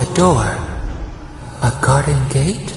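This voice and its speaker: A cartoonish character voice carries a clear echo. Clear background noise runs underneath. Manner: cryptic, dreamy, speaks as "we".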